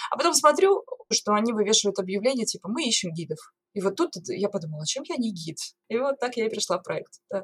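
A woman speaks very fast with a fairly high pitch and very wide pitch swings. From Norilsk, Russia. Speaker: singer turned lighthouse tour guide. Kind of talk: casual interview conversation.

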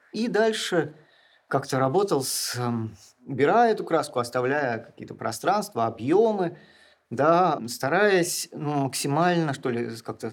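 Fairly slow speech swings very widely in pitch, with long, frequent pauses. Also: man, fairly high pitch for a man. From Russia, St Petersburg. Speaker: film director and poet. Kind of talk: interview.

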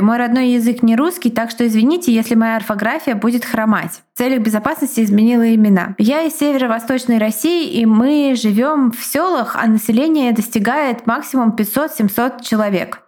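A woman talks with an unremarkable speaking voice at a fairly high pitch and a moderate pace. Her pitch varies in an ordinary way, with hardly any pauses. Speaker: podcast co-host. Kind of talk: casual chat and reading listener stories aloud. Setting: home recording.

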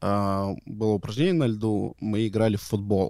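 Recorded very cleanly with a silent background, a man speaks with a fairly low pitch, a dark, mellow tone and fairly even intonation. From Omsk, Russia. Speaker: former hockey player, hockey coach. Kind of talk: casual chat.

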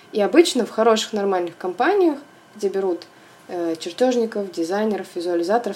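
Noticeable background noise behind a woman's lively, medium-pitched delivery at a moderate speed. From Russia, Volgograd. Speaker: interior designer. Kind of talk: interview. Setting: remote call.

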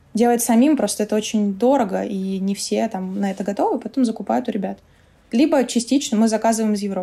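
Noticeable background noise sits behind a woman talking very fast at a fairly high pitch with ordinary pitch variation. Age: 20s. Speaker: head of a vegan food producer. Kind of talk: casual interview chat.

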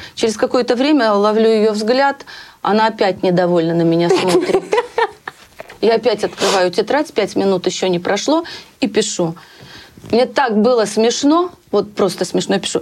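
A woman's fairly high voice, lively in intonation yet very even in loudness, at a moderate pace with long, frequent pauses and noticeable background noise. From Russia, Bryansk. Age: 50s. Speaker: hairstylist. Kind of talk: interview.

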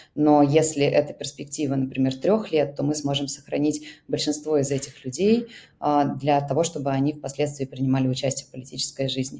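A woman's very deep, low voice, dark and mellow, fairly quick and fairly even in intonation. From Russia. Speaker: founder of an emigrant aid project. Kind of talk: interview.

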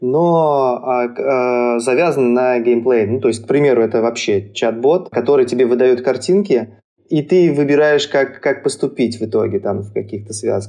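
A man's dark, mellow tone at medium pitch, with a moderate pace and ordinary pitch variation. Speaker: podcast co-host, animator. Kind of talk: podcast interview.

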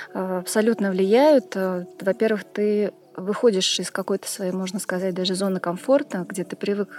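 This woman has a plain, everyday voice, with medium pitch, ordinary pitch variation and a moderate pace. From Tashkent, Uzbekistan. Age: 40s. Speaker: hatha yoga teacher. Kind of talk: interview about yoga tours.

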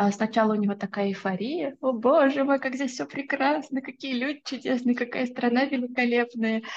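Her pitch is high, and the woman keeps a moderate pace. The background is quiet. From Russia, Orenburg. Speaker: SMM specialist. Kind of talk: podcast interview. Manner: hesitant with filler words.

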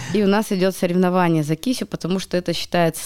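Dry and close with no echo, the recording has a woman speaking at a very fast pace with a fairly low pitch and a dark, mellow tone. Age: 30s. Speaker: media assistant and psychologist. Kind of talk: casual chat. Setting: studio.

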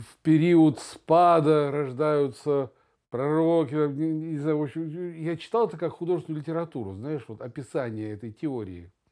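Over a quiet background, a man speaks in a fairly high pitch with a dark, mellow tone. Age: 60s. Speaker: podcast co-host. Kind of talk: casual chat.

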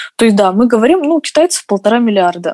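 A woman's dark, mellow, fairly high voice with very wide pitch swings. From Russia. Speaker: dancer. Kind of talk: casual chat.

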